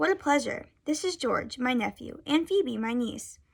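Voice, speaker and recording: On a very clean recording with a silent background, a woman uses a raspy, high-pitched put-on character voice at a moderate pace with lively intonation. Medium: read story.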